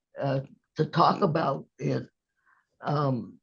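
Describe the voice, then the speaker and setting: A woman's voice with vocal fry, at a very slow pace. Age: 80s+. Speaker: retired social worker. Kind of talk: interview answer. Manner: slow, hesitant.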